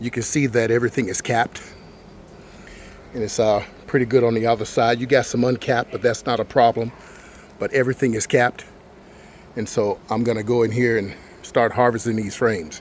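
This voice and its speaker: A man at medium pitch talks at a fairly quick pace, yet with long, frequent pauses. His intonation is monotone and flat. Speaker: beekeeper. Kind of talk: tutorial. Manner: fast.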